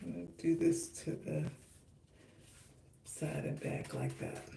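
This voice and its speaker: A woman talks fairly slowly while noticeable background noise and audible echo fill the room. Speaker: hair care vlogger. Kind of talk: livestream tutorial.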